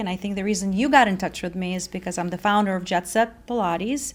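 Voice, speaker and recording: A woman with a slight Russian accent speaks at a fairly quick pace. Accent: Russian, slight, well controlled. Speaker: fitness company founder. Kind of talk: interview.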